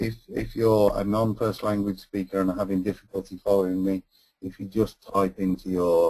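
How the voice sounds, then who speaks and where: This man has a very deep, low pitch and a dark, mellow tone, in a slight northern English accent. His intonation is monotone and flat. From northern England. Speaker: energy efficiency consultant. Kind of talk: webinar presentation. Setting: online webinar. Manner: hesitant with fillers.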